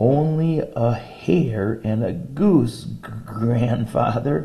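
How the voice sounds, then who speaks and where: A raspy, shaky put-on character voice at a very slow pace. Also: man, medium pitch for a man. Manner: timid, fearful.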